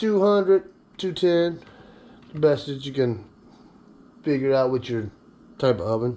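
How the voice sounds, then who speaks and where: A man speaks fairly slowly with a fairly high pitch. His tone is dark and mellow, with lively intonation. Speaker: home cooking video host. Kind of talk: cooking tutorial with casual chat. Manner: casual, joking.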